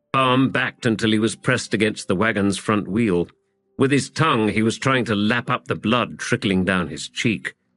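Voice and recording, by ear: Someone is reading aloud in a natural voice with ordinary pitch variation. Behind them, the background stays quiet.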